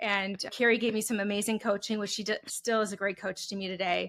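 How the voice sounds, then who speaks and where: In a Wisconsin accent, a woman talks at a very fast pace with a medium pitch and a bright, sharp tone, on a very clean recording with a silent background. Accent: Wisconsin, nasal. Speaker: HR consultant, entrepreneur. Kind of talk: interview.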